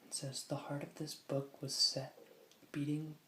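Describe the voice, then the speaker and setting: This soft-spoken voice stays monotone, its intonation flat throughout. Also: man. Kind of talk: ASMR soft-spoken book reading.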